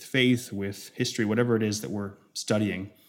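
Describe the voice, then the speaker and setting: A man speaks with an American accent at a fairly low pitch. His intonation stays fairly even. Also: very clean recording, silent background. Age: 30s. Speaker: pastor. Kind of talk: sermon. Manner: halting.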